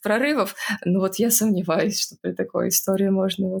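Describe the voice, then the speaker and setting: Speaking fairly quickly, a woman uses fairly even intonation at a medium pitch, her voice somewhat breathy. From Russia, Saint Petersburg. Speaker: scientist, geneticist. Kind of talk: interview.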